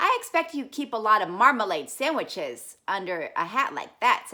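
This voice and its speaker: A woman puts on a character voice, raised and projected, pitched high. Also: moderate pace. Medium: read story. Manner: polite, earnest.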